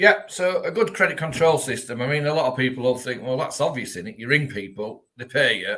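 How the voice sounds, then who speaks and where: A man speaks with a Yorkshire accent and lively intonation. His tone is bright and sharp. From Yorkshire, northern England. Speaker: debt recovery business owner. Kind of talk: live-streamed webinar interview.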